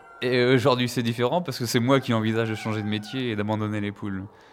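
There is noticeable background noise. Over it, a man talks at a fairly low pitch. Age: 30s. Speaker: farmer. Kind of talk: interview.

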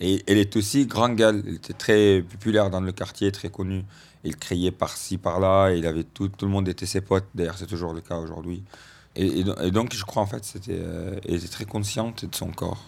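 In an Arabic accent, a man speaks at a moderate pace in a fairly low voice. His intonation is fairly even, and the recording is very clean with a silent background. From Egypt. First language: Arabic (speaking French). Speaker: radio columnist. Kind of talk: casual chat. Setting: at his family home.

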